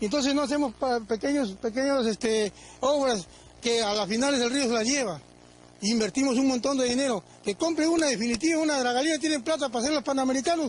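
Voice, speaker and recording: A man with an extremely high voice talks very fast, his loudness very even and his pitch varying in an ordinary way. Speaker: local resident. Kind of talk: interview. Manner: stammering.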